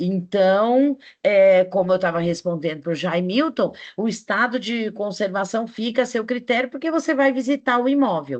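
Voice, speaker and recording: Against a quiet background, a woman talks at a moderate pace in a fairly high pitch with lively intonation, a plain, everyday voice. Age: 60s. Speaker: teacher. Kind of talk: online class lecture.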